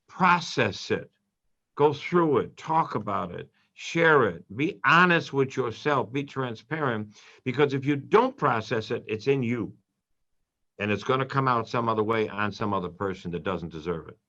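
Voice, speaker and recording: A man with an American accent speaks at a moderate pace and medium pitch, his tone bright and sharp and his intonation lively, over a quiet background. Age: 70s. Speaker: priest. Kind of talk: radio interview. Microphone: line froze.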